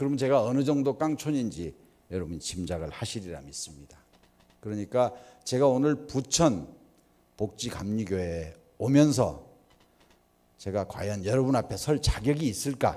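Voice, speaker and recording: A man at a moderate pace, medium in pitch and dark and mellow in tone, with very wide pitch swings and long, frequent pauses. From rural South Korea. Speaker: guest speaker at church. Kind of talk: sermon. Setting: church with audience. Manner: rhetorical questions to audience.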